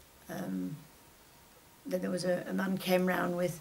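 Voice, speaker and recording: At a moderate pace, the voice carries audible room echo along with noticeable background noise. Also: woman. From northern England, Whitefield near Manchester. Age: 80s+. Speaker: retired shopkeeper. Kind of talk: oral history interview. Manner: halting, many fillers.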